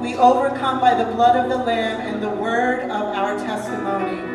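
A woman talks at a moderate pace. Clear music plays in the background, and the room echo is audible. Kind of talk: church welcome and exhortation. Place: church.

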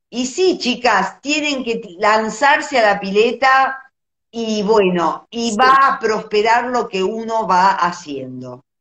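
Speaking at a very slow pace, a woman with a fairly high pitch and lively intonation is heard with audible room echo over a quiet background. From Argentina. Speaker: visual artist, live-stream host; host of art talk. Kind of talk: casual live-stream chat. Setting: Instagram live video. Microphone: phone near.

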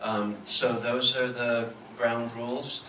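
Noticeable background noise sits behind the recording. The man speaks with monotone, flat intonation. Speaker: moderator, history professor. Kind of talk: event moderation announcement. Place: hall. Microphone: pa.

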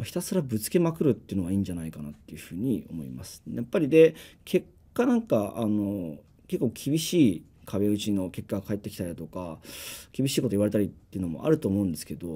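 Dark and mellow in tone, a man's fairly low voice races at a very fast pace, with big swings in loudness and very wide pitch swings. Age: 30s. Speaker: startup CEO; guest. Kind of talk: business presentation and Q&A. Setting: live stream studio without audience. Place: studio.

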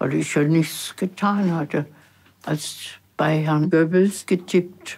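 A woman speaks at a very slow pace in a fairly low pitch. Her intonation is fairly even. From Germany. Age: 80s+. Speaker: former secretary, documentary interviewee. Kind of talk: interview answer. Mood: reflective, somber recollection. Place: studio.

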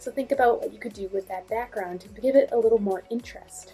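The speech runs at a very fast pace, with big swings in loudness. Faint music plays in the background. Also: woman. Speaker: art teacher. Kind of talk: tutorial. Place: home room. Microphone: phone near.

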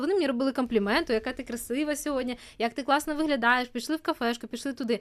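This is a woman speaking. Her pitch is high. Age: 20s. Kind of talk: casual chat.

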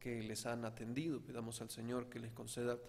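A man is speaking. His pace is fairly quick. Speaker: priest. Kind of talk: prayer intentions at mass. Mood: calm, solemn. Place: church. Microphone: podium.

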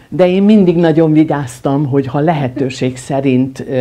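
Her pace is fairly slow. The woman's voice sits very deep and low. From Hungary, Budapest; Hungary. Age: 70s. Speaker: film editor; guest. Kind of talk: interview. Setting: at the guest's home. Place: home room.

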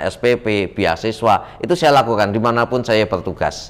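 Ordinary pitch variation from a man at a moderate pace. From Semarang, Central Java; Central Java, Indonesia. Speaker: political candidate; candidate. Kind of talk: interview. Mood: relaxed, animated storytelling. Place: studio. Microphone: lapel.

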